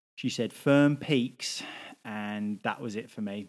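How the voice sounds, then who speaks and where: In a British accent, a man speaks at a very slow pace with ordinary pitch variation, on a very clean recording with a silent background. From UK. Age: 30s. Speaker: podcast co-host. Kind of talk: casual chat.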